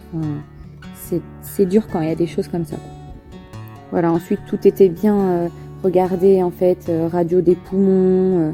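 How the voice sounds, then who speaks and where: A woman with a fairly low pitch speaks in a relaxed tone and a monotone, flat intonation at a fairly slow pace, with long, frequent pauses and music in the background. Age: young. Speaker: mother of a premature baby. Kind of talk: interview answer. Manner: relaxed, simple, emotional.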